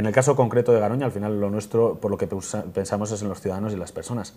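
Speaking at a very fast pace, a man uses a dark, mellow tone at a fairly low pitch with fairly even intonation. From Spain, Burgos; Spain. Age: 30s. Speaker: parliamentary candidate; candidate. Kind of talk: TV interview; interview answer. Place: studio. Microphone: lapel.

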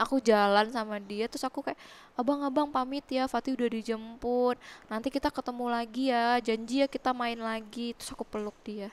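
The woman's voice is high in pitch with fairly even intonation. She speaks at a fairly quick pace. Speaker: widow guest; interview guest. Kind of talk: emotional interview about grief. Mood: emotional, grieving, reflective. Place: studio. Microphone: headset.

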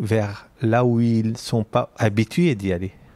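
A man talks at a very slow pace in a medium pitch. His tone is dark and mellow. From Lebanon. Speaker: architect and urban planner. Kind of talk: interview conversation.

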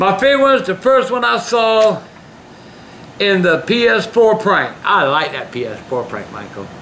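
Light background noise is present. A man speaks at a moderate pace in a raised, projected voice. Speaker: vlog host reading fan mail. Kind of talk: casual vlog chat, reading letters aloud. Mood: gruff, sometimes shouting. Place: home room. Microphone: camera far.

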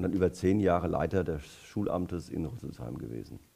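Speaking at a fairly quick pace, a man uses lively intonation, a dark, mellow tone and a very deep, low pitch with vocal fry. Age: 60s. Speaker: politician; election candidate. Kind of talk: election debate. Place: hall. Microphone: headset.

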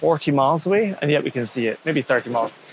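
Noticeable background noise sits under the speech. The pace is fairly quick and the sound is dry with no echo. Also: man. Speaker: sailor vlogger. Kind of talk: casual vlog chat. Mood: cheerful, amused. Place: boat. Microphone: lapel.

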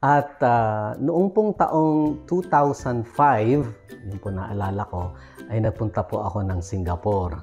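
Faint music plays in the background as a man speaks at a fairly low pitch. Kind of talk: casual vlog storytelling. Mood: warm, cheerful, smiling. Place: home room. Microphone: lapel.

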